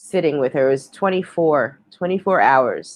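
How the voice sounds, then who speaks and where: Moderate pace, with a slight New York accent. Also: woman. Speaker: live stream host. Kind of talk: casual chat. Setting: live stream.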